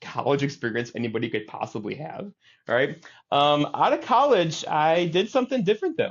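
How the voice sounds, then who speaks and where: A man with a Midwestern accent talks at a fairly quick pace, his pitch swinging very widely. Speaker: TV meteorologist and news director. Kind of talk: interview. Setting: podcast. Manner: casual, many fillers.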